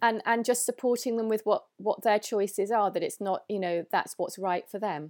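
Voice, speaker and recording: With a southern English accent, a woman speaks at a moderate pace and a fairly high pitch, her intonation fairly even and hardly any pauses, in a very clean recording with a silent background. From England, London. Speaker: holistic female health expert. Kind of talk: interview.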